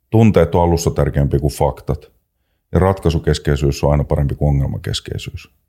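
A man speaks with a very deep, low pitch and a dark, mellow tone, with vocal fry. His pace is moderate and his pitch variation ordinary. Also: very even loudness. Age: 50s. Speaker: trainer in conflict and violence prevention, former police officer. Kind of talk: casual chat.

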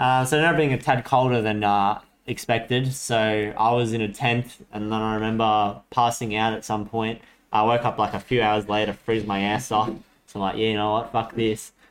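On a very clean recording with a silent background, a man with an Australian accent speaks in a flat monotone at medium pitch and a moderate pace. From Australia, Sydney and Coffs Harbour. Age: 20s. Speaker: podcast co-host. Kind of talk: casual chat.

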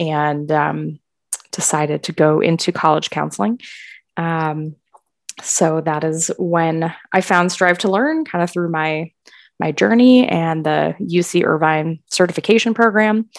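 This woman has an unremarkable speaking voice with a fairly low pitch. She talks at a fairly slow pace with ordinary pitch variation. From Wisconsin, Milwaukee. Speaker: college counselor. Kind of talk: casual chat.

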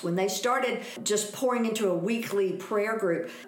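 A woman with a fairly high voice and an American accent talks at a moderate pace with lively intonation. Audible room echo and noticeable background noise surround her. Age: 60s. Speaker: missionary. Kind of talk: casual interview chat.

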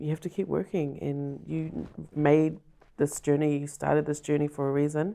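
A woman's very deep, low voice, dark and mellow, with a New Zealand accent, a moderate pace and fairly even intonation. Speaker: film director. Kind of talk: casual chat.

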